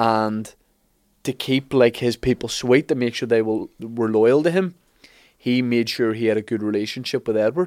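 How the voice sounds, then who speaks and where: Recorded very cleanly against a silent background with a dry, close sound and no echo, a man talks at a moderate pace in a medium pitch with ordinary pitch variation and a normal speaking voice. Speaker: podcast host. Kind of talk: casual chat, history storytelling.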